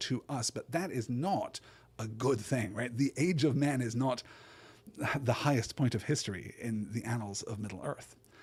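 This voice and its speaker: A man speaks in a somewhat breathy voice with ordinary pitch variation. The recording is very clean, with a silent background. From Britain. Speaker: podcast host discussing books. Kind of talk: solo podcast lecture. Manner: frequent repetitions and fillers like 'right?'.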